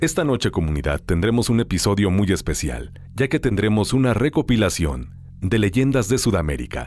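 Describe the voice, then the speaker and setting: Over background music, a man with a fairly low voice talks at a moderate pace with hardly any pauses, very even loudness and very wide pitch swings. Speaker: voice-over announcer. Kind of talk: podcast host intro to audience.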